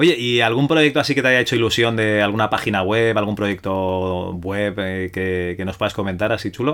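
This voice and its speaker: A normal speaking voice from a man, fairly low in pitch, at a moderate pace with hardly any pauses and ordinary pitch variation. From Spain, Barcelona. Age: middle-aged. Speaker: podcast host. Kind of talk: interview.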